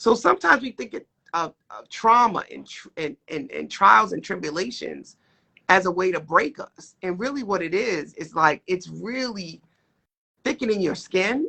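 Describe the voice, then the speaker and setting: A woman of medium pitch at a moderate pace, with lively intonation, big swings in loudness and vocal fry. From Boston, Massachusetts (Roxbury). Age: 40s. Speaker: life coach and mental health clinician. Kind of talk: interview.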